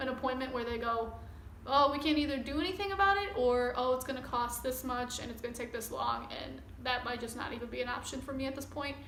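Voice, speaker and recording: A high-pitched woman at a fairly quick pace, with audible room echo. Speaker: vlogger. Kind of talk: personal vlog. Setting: recording to camera. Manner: casual, rambling.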